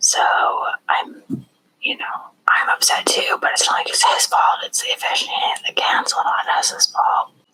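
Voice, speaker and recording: At a fairly slow pace, a woman is whispering. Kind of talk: ASMR true crime recap. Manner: whispered; casual, rambling.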